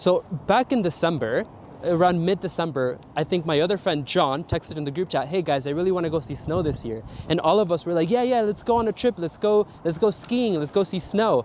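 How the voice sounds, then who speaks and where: A man with an American accent, high-pitched and energetic, lively intonation, fairly quick delivery, noticeable background noise. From South Florida. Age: 20s. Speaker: travel vlogger. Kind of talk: vlog narration. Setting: airport. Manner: casual, energetic.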